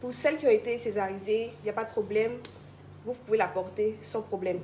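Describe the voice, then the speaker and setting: A woman is talking. Her voice sits fairly high. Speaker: product presenter. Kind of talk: sales pitch. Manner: fast.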